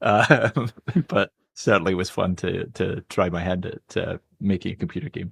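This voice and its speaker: With a Scottish accent, a man speaks at a moderate pace. His pitch is very deep and low, and the sound is dry and close with no echo. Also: ordinary pitch variation. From Scotland, Glasgow, west coast. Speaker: medical professor and geneticist. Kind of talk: podcast interview.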